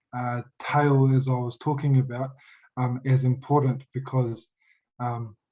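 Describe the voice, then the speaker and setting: A man with an Australian accent speaks at a fairly slow pace and a medium pitch, in a monotone with flat intonation. His voice is somewhat breathy, with a dark, mellow tone. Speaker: youth worker, audience member asking a question. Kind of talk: panel Q&A question. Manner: halting, many fillers and restarts.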